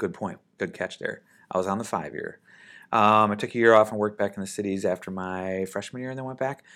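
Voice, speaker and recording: With an American accent and a bright, sharp tone, a man speaks at a fairly quick pace in a fairly low pitch, captured in a very clean recording with a silent background. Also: ordinary pitch variation. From Minnesota, US (Saint Paul). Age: 50s. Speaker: air force general and airline pilot. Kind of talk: interview.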